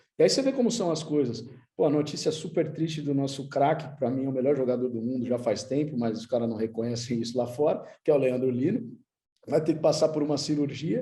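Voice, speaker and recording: A man speaks at a fairly quick pace in a dark, mellow, somewhat breathy voice. His pitch varies in an ordinary way, and room echo is audible. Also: fairly high pitch for a man. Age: 30s. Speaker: futsal club manager, former player. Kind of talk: conference talk. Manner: casual, slangy.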